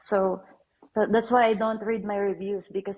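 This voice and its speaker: This woman talks at a moderate pace with a Filipino accent and fairly even intonation. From Philippines. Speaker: author. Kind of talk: casual chat. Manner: halting.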